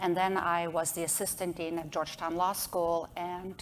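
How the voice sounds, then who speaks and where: A woman speaks with a non-native accent at a fairly low pitch. Her intonation is monotone and flat, and her pace is fairly slow. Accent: noticeable foreign. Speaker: association executive director, lawyer. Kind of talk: panel discussion.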